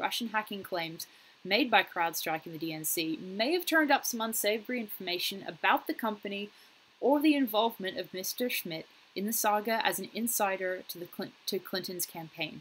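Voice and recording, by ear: A woman speaks at a fairly quick pace with lively intonation. Her fairly bright tone carries a slightly husky edge.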